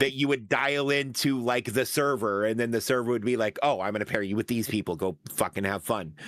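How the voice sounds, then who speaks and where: Hardly pausing, a man talks at a fairly quick pace and medium pitch with ordinary pitch variation, on a very clean recording with a silent background. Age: 40s. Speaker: gaming streamer co-host. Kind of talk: casual chat. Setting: voice call over Discord. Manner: animated.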